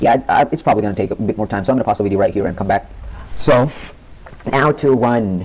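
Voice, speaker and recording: Noticeable background noise behind a man speaking at a medium pitch. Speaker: tech tutorial youtuber. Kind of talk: screen-recorded software tutorial. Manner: casual, halting with fillers.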